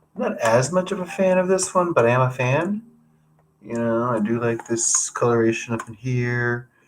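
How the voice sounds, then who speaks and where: A man speaks in a soft-spoken way. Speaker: abstract painter livestreaming. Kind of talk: casual livestream chat. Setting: livestream. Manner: soft-spoken, low talker.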